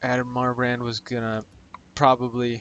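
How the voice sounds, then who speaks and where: A man speaks quietly at a moderate pace. His pitch sits in the medium range. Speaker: gaming youtuber. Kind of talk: gameplay commentary.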